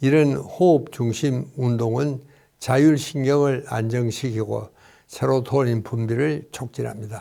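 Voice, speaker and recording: On a very clean recording with a silent background, a man talks very slowly in a dark, mellow tone at a medium pitch with fairly even intonation. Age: 80s+. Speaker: psychiatrist and doctor. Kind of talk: health advice talk.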